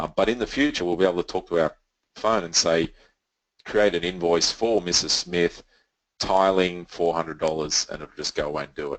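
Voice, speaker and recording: With an Australian accent, a man speaks in a very deep, low voice. His intonation stays fairly even. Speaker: software company representative. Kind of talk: webinar presentation. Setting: online webinar. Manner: fast.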